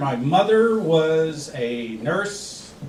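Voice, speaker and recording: A man with a fairly high pitch talks while audible room echo and noticeable background noise fill the recording. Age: 60s. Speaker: stand-up comedian. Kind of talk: stand-up.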